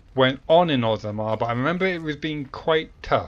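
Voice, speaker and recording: This man speaks with a British accent and a fairly high pitch. His intonation is lively. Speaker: let's play gamer. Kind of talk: gameplay commentary.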